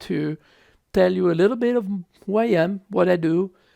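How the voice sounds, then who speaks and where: In an Italian accent, a man with a dark, mellow tone and ordinary pitch variation is heard dry and close with no echo, on a very clean recording with a silent background. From Italy, Tuscany (Lucca). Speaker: public health physician. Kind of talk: speech to students. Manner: halting, many fillers.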